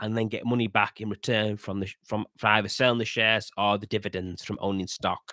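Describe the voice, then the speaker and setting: Bright and sharp in tone, a man with a Yorkshire accent speaks at a fairly quick pace, his fairly low voice monotone and flat. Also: dry, close sound with no echo. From northern England, Yorkshire. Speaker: podcast host. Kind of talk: casual monologue commentary. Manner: halting, with restarts and fillers.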